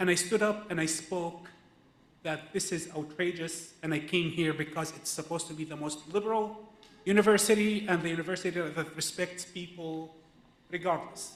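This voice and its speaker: Noticeable background noise lies under a man's voice. He speaks at a moderate pace, high in pitch, with fairly even intonation. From Israel (Palestinian citizen of Israel). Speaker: activist speaker, filmmaker. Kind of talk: personal testimony at a teach-in. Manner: halting, with many fillers and restarts.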